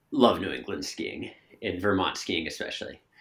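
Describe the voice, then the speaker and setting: Fairly slow speech in an American accent. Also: man. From Massachusetts. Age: 20s. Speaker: ski coach and athlete. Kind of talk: casual interview.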